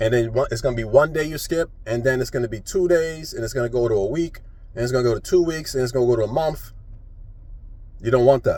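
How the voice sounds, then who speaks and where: The voice has an American accent and a dark, mellow, somewhat breathy tone. It moves at a very fast pace with ordinary pitch variation. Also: man, medium pitch for a man. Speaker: YouTuber and poet. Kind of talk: casual vlog monologue. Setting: talking to camera. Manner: conversational, self-correcting.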